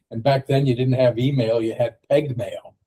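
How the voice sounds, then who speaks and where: Somewhat breathy, a man with an American accent speaks in a dark, mellow tone. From United States. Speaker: technology consultant. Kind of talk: casual chat.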